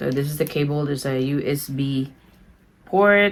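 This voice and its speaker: A woman speaks with a Filipino accent at a fairly slow pace. Her pitch is very deep and low. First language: Tagalog. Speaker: beauty vlogger. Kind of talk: product unboxing review. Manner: animated.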